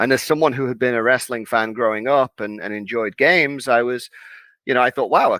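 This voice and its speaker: A man in a Liverpool accent, medium in pitch with a bright, sharp tone and fairly even intonation, in a very clean recording with a silent background and a dry, close sound with no echo. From northern England, Liverpool. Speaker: wrestling card game community organizer. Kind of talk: interview.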